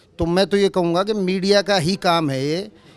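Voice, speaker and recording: A man speaks here. His pitch is high for a man, and his intonation stays fairly even. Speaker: khap panchayat chief. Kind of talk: interview. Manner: loud, fiery; halting with fillers.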